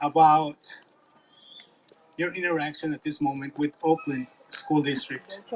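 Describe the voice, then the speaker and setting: A man with a Spanish accent, music playing in the background. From Mexico. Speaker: school board candidate. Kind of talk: public comment at town hall. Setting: outdoor park town hall meeting.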